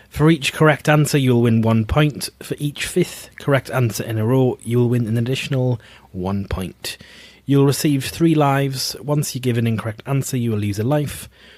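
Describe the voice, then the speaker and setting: This very clean recording with a silent background captures a man speaking at medium pitch. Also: ordinary pitch variation. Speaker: podcast co-host. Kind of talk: reading rules aloud; casual chat. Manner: fast.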